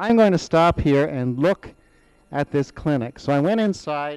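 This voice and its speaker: An ordinary speaking voice at a moderate pace with ordinary pitch variation comes through with a dry, close sound with no echo. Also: man. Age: 60s. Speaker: school principal, patient testimonial. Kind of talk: testimony.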